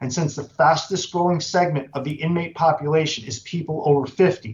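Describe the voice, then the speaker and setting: A man's somewhat breathy, fairly high voice at a moderate pace. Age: 60s. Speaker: incarcerated person testifying. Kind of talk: legislative testimony. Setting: committee hearing. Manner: formal.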